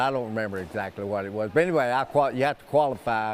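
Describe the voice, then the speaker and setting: With noticeable background noise behind him, a man talks fairly quickly at medium pitch with ordinary pitch variation. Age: 80s+. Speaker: senior pickleball champion. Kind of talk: interview. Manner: halting.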